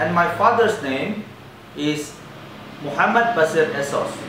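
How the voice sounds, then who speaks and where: A man's pitch varies in an ordinary way as room echo is audible and background noise is noticeable. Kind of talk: self-introduction monologue. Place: cafe. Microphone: camera far.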